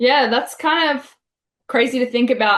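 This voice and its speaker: A woman speaks with an Australian accent. Her pitch varies in an ordinary way. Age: 20s. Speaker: pro wrestler. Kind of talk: interview.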